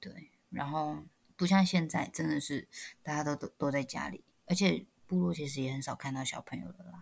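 At a moderate pace, a woman with a very deep, low pitch speaks in an animated tone with vocal fry, very wide pitch swings and big swings in loudness. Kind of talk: casual chat. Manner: animated, laughs often.

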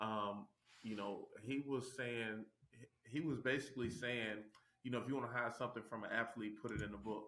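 With an American accent, this speaker has a bright, sharp tone, fairly even intonation, and a moderate pace. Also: man, medium pitch for a man. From Tennessee, US South (Chattanooga). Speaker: former pro basketball player, real estate investor. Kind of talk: interview. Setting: video call.

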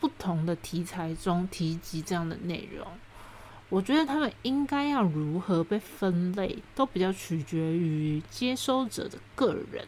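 A woman with a medium pitch talks at a fairly slow pace, her voice making very wide pitch swings. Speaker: podcast host. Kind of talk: solo podcast monologue. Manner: animated.

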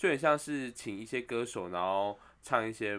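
A man's bright, sharp tone at a fairly slow pace, on a very clean recording with a silent background. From Taiwan, Taipei. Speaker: podcast co-host. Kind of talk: casual chat. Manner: animated, likes doing voices.

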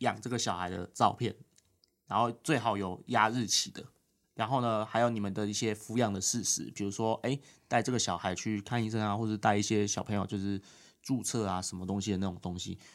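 A man speaks fairly quickly in a normal speaking voice, fairly low in pitch, with fairly even intonation. The recording is very clean, with a silent background. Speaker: legislator's aide. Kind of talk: casual interview.

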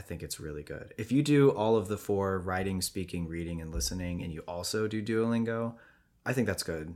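A man talks in a normal speaking voice at a moderate pace, pitched fairly low with ordinary pitch variation. The recording is very clean with a silent background. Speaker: podcast host. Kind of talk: casual chat. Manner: casual, laughs often.

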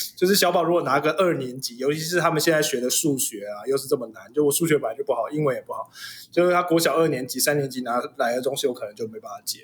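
Through noticeable background noise, a man talks at a very fast pace with hardly any pauses, at a fairly high pitch with ordinary pitch variation and big swings in loudness. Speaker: father and host's husband. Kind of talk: casual chat.

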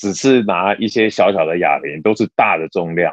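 An ordinary speaking voice from a man at a moderate pace, with lively intonation and a dry, close sound with no echo. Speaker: podcast co-host, office worker and gym-goer. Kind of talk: casual chat.

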